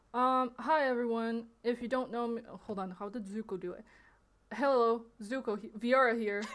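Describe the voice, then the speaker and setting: With a non-native accent, a woman speaks at a moderate pace, her intonation fairly even but her loudness swinging widely. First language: not English. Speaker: streamer. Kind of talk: livestream statement addressing allegations. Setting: livestream. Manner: hesitant, many fillers.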